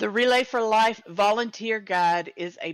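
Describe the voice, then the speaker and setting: A woman speaks with a Texan accent. The sound is dry and close with no echo, and the background is quiet. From Texas. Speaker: event host and volunteer organizer. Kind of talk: live-streamed event announcements. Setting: live stream in a virtual world event.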